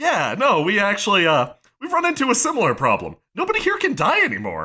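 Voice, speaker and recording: Putting on a character voice, a man pitches it extremely high. He talks at a fairly quick pace. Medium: actual play. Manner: casual, hesitant filler words.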